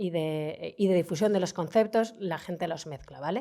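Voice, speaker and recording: A woman's dark, mellow voice sits at a medium pitch in a very clean recording with a silent background. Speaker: heritage official, lecturer. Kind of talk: lecture. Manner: fast.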